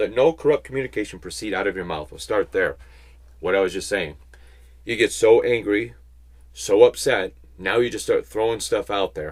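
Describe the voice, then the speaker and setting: Here a man talks at a fairly quick pace. The recording is very clean, with a silent background. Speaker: bible teacher. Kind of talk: sermon.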